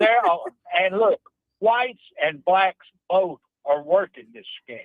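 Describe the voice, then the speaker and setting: A man with a Mississippi accent speaks in a high voice at a fairly slow pace. His intonation is lively, and his loudness swings widely. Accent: Mississippi Southern. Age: 70s. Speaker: caller. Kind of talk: call-in chat. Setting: phone call from car.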